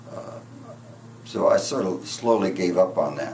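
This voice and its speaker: Audible room echo surrounds a man as he speaks. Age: 70s. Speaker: patient. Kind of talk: testimony. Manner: halting.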